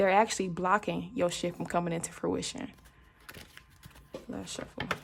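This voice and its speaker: An animated voice moves at a moderate pace with big swings in loudness. Noticeable background noise runs underneath. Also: woman. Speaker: tarot card reader. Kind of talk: tarot reading for viewers. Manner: casual, animated; stumbles over words.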